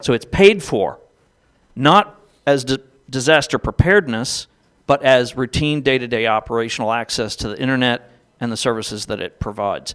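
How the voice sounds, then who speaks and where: A man with a normal speaking voice talks at a moderate pace with a medium pitch and lively intonation, in dry, close sound with no echo. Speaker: panelist. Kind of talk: panel discussion.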